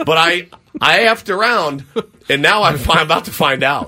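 The speaker is a man with a bright, sharp tone. He uses a raised, projected voice that swings very widely in pitch. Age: 40s. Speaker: sports radio host. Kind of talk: sports talk radio.

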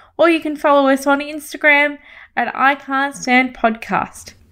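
Over a silent background in a very clean recording, a woman speaks with a high pitch. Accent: Australian. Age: 30s. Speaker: podcast host. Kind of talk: scripted podcast introduction.

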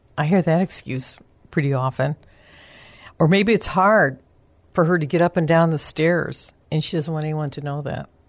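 With an American accent, a woman with a very deep, low voice speaks at a moderate pace with ordinary pitch variation and long, frequent pauses, over a quiet background. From US Midwest, Chicago area. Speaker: senior care advisor. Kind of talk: radio interview.

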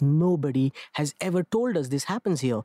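A man with a Marathi accent has a fairly high pitch and a dark, mellow tone at a moderate pace. The sound is dry and close with no echo, in a very clean recording with a silent background. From India, Mumbai. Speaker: theatre director and clown performer. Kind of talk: interview.

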